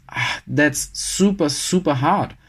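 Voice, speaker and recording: A man's fairly high voice with a German accent and ordinary pitch variation. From Germany. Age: 30s. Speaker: engineer and social media personality. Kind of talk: podcast interview. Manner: fast.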